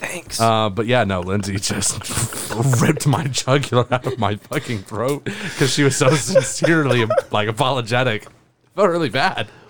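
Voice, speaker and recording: A man with a medium pitch and lively intonation at a moderate pace, over noticeable background noise. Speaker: podcast co-host. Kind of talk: casual chat.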